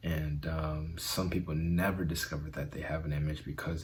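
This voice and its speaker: A man speaks at a moderate pace in a very deep, low voice with vocal fry. Audible echo from the room surrounds him. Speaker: self-help video host. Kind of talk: motivational talk. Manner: halting with fillers.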